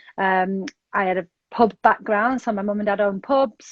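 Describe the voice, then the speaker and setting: A woman with a Manchester accent speaks with fairly even intonation. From northern England, north Manchester. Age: 40s. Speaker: sobriety coach. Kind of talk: interview.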